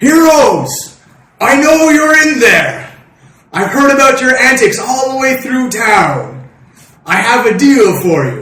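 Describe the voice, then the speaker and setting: Putting on a gruff character voice at an extremely high pitch, a man speaks fairly slowly with a slight echo. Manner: gruff, commanding, making a deal offer.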